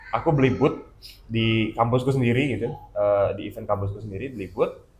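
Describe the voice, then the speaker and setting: A man speaks with a slight Balinese accent. His pace is fairly quick. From Bali, Indonesia. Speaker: comic artist and illustrator. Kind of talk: casual chat. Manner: halting, many fillers.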